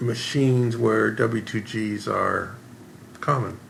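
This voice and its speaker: A man's voice with audible room echo. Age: 70s. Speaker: professional video poker player and author. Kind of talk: interview. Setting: in-person sit-down interview.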